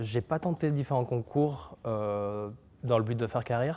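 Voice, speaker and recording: Medium pitch from a male speaker, the tone dark and mellow. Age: 20s. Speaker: neuroscience PhD and start-up founder. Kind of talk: interview. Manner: hesitant, many filler sounds.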